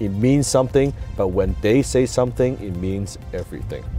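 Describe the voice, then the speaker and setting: A man's medium-pitched voice with lively intonation and a non-native accent, music playing in the background. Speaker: entrepreneur and public speaker. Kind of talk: motivational talk to camera.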